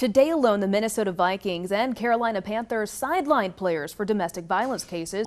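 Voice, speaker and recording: A woman's normal speaking voice at medium pitch, fairly quick in pace with lively intonation. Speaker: TV news reporter and anchor. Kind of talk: TV news anchor read. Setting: studio.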